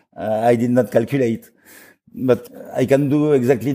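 A man with a French accent, dark and mellow in tone, at a fairly slow pace. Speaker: bitcoin mining company CEO. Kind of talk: interview. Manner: halting.

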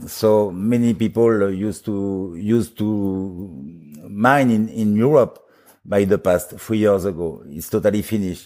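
In a French accent, the voice has a dark, mellow tone, ordinary pitch variation and hardly any pauses at a fairly slow pace, on a very clean recording with a silent background. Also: man, fairly low pitch for a man. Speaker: bitcoin mining company CEO. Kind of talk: interview. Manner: halting.

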